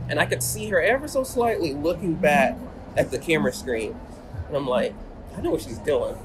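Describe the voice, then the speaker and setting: Music plays in the background as the speaker moves at a fairly quick pace. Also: man. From Atlanta, Georgia. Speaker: professional photographer. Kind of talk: interview. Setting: in person.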